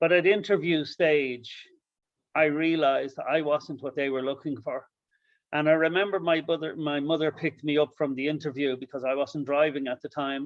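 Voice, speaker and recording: A man's fairly high-pitched voice with an Irish accent. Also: fairly even intonation, moderate pace. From Ireland. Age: 50s. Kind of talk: panel discussion.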